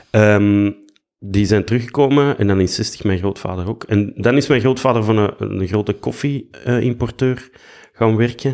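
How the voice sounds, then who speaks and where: In a Flemish accent, a man with a fairly low pitch speaks at a moderate pace on a very clean recording with a silent background. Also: ordinary pitch variation. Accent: Flemish Dutch. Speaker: actor and musician. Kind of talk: casual chat.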